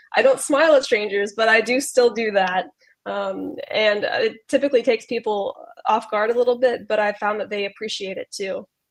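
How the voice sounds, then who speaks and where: A woman speaks at a moderate pace with a Southern US accent. Her voice is fairly high, with ordinary pitch variation. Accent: American, US South. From US South, Charlotte, North Carolina. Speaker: university student. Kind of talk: interview. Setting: livestream video call.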